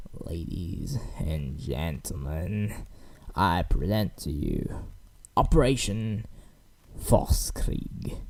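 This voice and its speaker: In a put-on character voice, a man whispers at a very slow pace, with long, frequent pauses. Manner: grandiose announcing.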